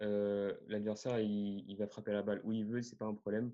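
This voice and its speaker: Against a quiet background, a man's speech moves at a moderate speed. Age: 20s. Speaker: tennis podcaster and coach. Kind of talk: interview.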